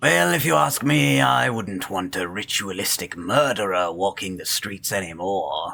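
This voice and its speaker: A man puts on a character voice with a very deep, low pitch. He keeps a moderate pace with hardly any pauses. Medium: game stream. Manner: condescending, formal.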